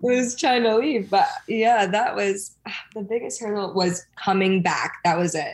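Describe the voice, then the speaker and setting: A woman in a normal speaking voice talks at medium pitch with ordinary pitch variation and hardly any pauses. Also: fairly slow pace. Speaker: reality TV personality. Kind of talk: casual chat.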